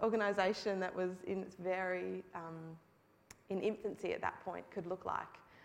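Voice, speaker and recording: An Australian accent is heard. The speaker is a woman. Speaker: hospital charity co-founder. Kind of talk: testimony. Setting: church.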